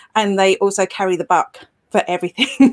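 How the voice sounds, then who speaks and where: Fairly even in intonation, a woman with a British accent speaks at a medium pitch in a very clean, silent recording with a dry, close sound and no echo. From Britain. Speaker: social media expert and blogger. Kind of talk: interview. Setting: live video show.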